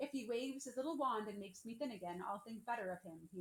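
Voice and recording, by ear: The speaker is reading aloud. The delivery sounds natural.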